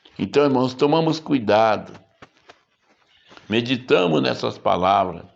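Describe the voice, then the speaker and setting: Pausing long and often, a man with a medium-pitched voice and lively intonation talks at a fairly slow pace amid audible room echo. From Brazil. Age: 70s. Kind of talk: sermon.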